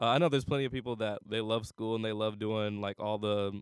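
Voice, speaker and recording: With an American accent, a man with a plain, everyday voice at a medium pitch speaks with fairly even intonation. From Cleveland, Ohio. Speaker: college student. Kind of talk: casual interview.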